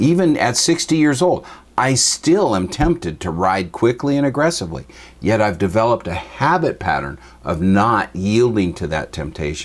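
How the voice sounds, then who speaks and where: A man with an American accent, medium pitch and very wide pitch swings at a moderate pace. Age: 60s. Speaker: Bible teacher. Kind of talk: teaching talk.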